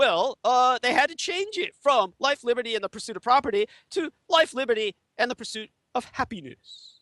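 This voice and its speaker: Projected and raised, a man's voice sits at an extremely high pitch with a bright, sharp tone and lively intonation. He moves at a moderate pace, with a dry, close sound with no echo. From Taiwan. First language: Chinese. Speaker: interview guest, conspiracy researcher. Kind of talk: interview monologue. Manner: hesitant with many fillers.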